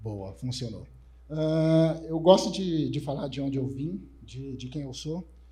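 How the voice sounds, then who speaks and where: A fairly high-pitched man at a fairly slow pace, ordinary pitch variation, audible room echo. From Brazil, São Paulo north zone periphery. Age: 40s. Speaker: conference speaker, developer relations professional. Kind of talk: conference talk. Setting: stage with audience. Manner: casual, joking.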